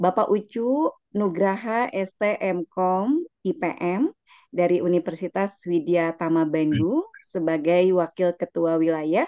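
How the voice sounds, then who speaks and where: Speaking at a very slow pace, a woman uses a fairly low pitch and a dark, mellow tone with ordinary pitch variation, in a dry, close recording with no echo. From West Java (Garut), Indonesia. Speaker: event moderator, lecturer. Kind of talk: meeting moderation.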